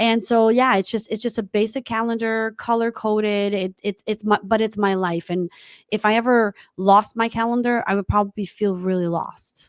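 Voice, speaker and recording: The speaker has a non-native accent and talks at a moderate pace in a monotone, flat intonation. The sound is dry and close, with no echo. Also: woman, fairly high pitch for a woman. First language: not English. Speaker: tech entrepreneur. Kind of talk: interview. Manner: halting.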